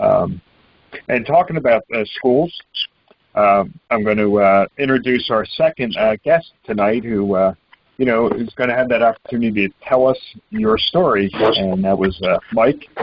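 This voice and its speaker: A man with a plain, everyday voice speaks at a moderate pace and medium pitch with ordinary pitch variation. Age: 60s. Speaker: political talk show host. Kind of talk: call-in political talk show.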